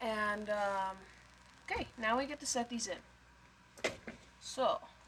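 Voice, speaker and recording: A woman speaks at a very slow pace with a fairly high pitch. Her pitch varies in an ordinary way, and there is noticeable background noise. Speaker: home video maker. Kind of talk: cooking tutorial. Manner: hesitant, many fillers; too quiet.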